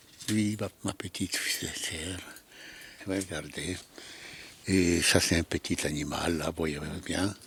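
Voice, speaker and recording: A man speaks at a very slow pace in a very deep, low voice with fairly even intonation, leaving long, frequent pauses over noticeable background noise. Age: 90s. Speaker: sculptor and Holocaust survivor. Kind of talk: casual interview in studio. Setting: artist's workshop. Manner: halting, repeating words.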